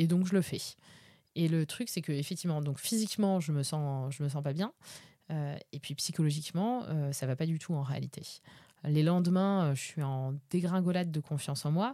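The woman's pitch is very deep and low, her tone dark and mellow, and she keeps a moderate pace. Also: ordinary pitch variation, very clean recording, silent background. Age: 30s. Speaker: podcaster sharing personal sobriety journey. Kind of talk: personal testimony monologue. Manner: hesitant, frequent filler sounds.

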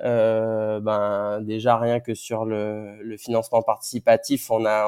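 A man speaks in a monotone with flat intonation. The sound is dry and close with no echo. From Martinique. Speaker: ocean engineer. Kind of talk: interview. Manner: halting, many repetitions and fillers.

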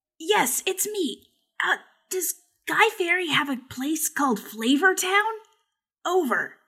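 In a very clean recording with a silent background, a woman uses a put-on character voice at an extremely high pitch, speaking at a fairly slow pace with long, frequent pauses. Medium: actual play. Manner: casual, slangy.

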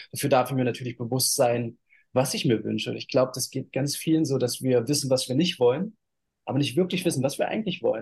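Very fast speech from a man at medium pitch, with vocal fry. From eastern Germany, Halle/Leipzig area. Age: 30s. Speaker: model and spiritual coach. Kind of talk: interview.

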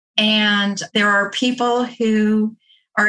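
The tone is bright and sharp, with fairly even intonation. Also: woman.

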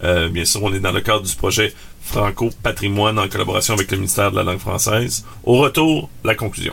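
With a normal speaking voice, a man talks at a fairly quick pace, his fairly low pitch showing ordinary variation. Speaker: podcast host. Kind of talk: casual chat.

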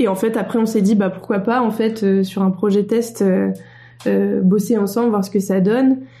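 With a plain, everyday voice, a woman talks at a moderate pace in a medium pitch, her intonation fairly even. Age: 20s. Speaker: motion designer, studio co-founder. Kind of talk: casual interview.

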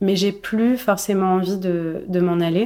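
The recording is very clean, with a silent background. A woman speaks at medium pitch in a dark, mellow tone, her intonation monotone and flat. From Morocco, Casablanca. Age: 30s. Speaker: novelist. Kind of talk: interview. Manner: hesitant, frequent fillers and repetitions.

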